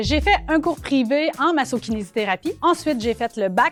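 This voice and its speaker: A fairly quick, lively-intoned delivery in a Quebec accent. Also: woman. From Quebec, Abitibi region. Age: 30s. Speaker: university professor and researcher. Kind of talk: interview.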